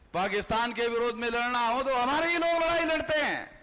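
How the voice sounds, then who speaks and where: Raising and projecting his voice, a man speaks at an extremely high pitch with ordinary pitch variation. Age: 60s. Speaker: political activist. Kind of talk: political rally speech. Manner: animated.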